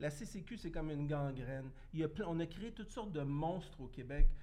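With audible room echo, a man speaks fairly slowly in a fairly high pitch. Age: 50s. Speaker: former municipal politician. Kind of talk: casual chat.

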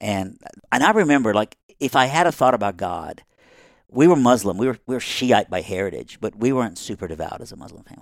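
In a Southern US accent, a man talks at a very fast pace with a medium pitch, lively intonation and big swings in loudness. The recording is very clean with a silent background. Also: dry, close sound with no echo. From Iran, raised in Texas and Alabama from age ten. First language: Persian. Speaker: author, speaker, former campus pastor. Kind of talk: casual interview storytelling.

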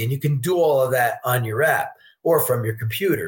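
In an unremarkable speaking voice, the speaker talks at a moderate pace with lively intonation. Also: man. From New York State, Poughkeepsie. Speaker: sportsbook director. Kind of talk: interview.

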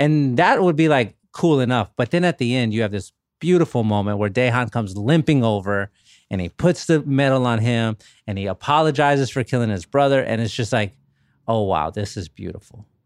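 The recording is very clean, with a silent background. A man of medium pitch speaks in an unremarkable speaking voice. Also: lively intonation, fairly quick pace. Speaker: author. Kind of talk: casual chat.

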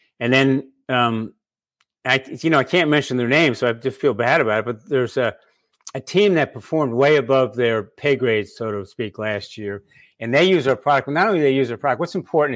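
A man speaks in an unremarkable speaking voice at a medium pitch. His pace is fairly quick, with ordinary pitch variation. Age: 60s. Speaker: author and balance product founder. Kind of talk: casual interview. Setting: video call.

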